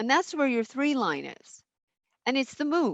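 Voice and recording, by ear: A woman talks with lively intonation in a dry, close sound with no echo.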